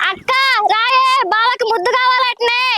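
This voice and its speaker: Over light background noise, a woman does a squeaky put-on character voice at an extremely high pitch, her intonation flat and monotone. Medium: short film. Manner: quick, cheeky.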